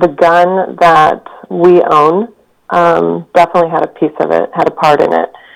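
A woman speaks slowly in a plain, everyday voice, pitched fairly low. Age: 40s. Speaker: researcher and owner of a historic gun. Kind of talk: interview.

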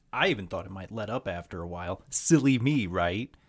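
The recording is very clean with a silent background. A man with an American accent speaks at a moderate pace with lively intonation. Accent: slight Southern US, sounds Midwestern. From US South. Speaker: podcast host. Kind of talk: casual monologue, podcast intro with profanity. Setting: solo podcast recording. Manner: rambling, candid, self-deprecating.

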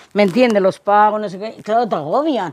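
Noticeable background noise runs under a woman's fairly quick speech. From Spain, Salamanca province (Gallegos de Argañán). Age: 70s. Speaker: elderly villager interviewee. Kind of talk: casual interview.

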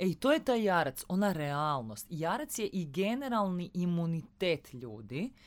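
A woman speaks with very wide pitch swings. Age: 30s. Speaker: astrologer. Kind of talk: casual chat. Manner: cheerful, relaxed.

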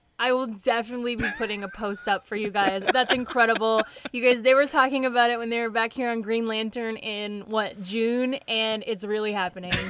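A woman with an American accent speaks fairly quickly at a fairly high pitch, with hardly any pauses. Noticeable background noise runs underneath. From Tennessee, US South. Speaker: comic book podcast host. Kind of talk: casual chat, podcast discussion. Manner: animated, enthusiastic.

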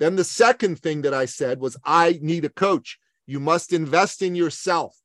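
The man's voice is high, with an energetic tone and ordinary pitch variation. He speaks at a fairly slow pace, and the sound is dry and close with no echo. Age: 50s. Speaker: business author and speaker. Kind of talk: interview.

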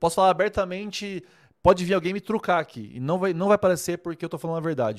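Very clean recording, silent background, and a man going at a very fast pace. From Brazil, Rondônia (Vilhena). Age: 30s. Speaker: wedding photographer and online mentor. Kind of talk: casual livestream talk to viewers. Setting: live stream. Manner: animated, informal.

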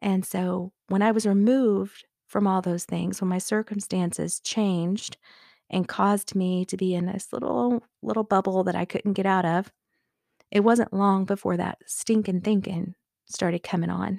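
A woman talks at a moderate pace with a medium pitch, fairly even intonation, and a dark, mellow tone. The recording is very clean with a silent background, and the sound is dry and close with no echo. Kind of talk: devotional talk.

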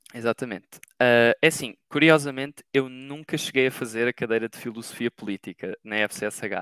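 With hardly any pauses, a man at a medium pitch talks at a moderate pace and with big swings in loudness, in a dry, close sound with no echo. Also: ordinary pitch variation. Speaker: master's student. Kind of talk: casual interview. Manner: hesitant, many fillers.

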